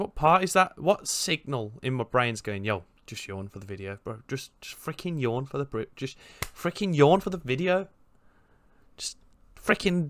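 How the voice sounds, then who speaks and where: A man at a moderate pace in a fairly high pitch, with very wide pitch swings and big swings in loudness. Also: very clean recording, silent background. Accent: Birmingham. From Birmingham, England. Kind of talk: casual reaction commentary. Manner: upbeat, jokey.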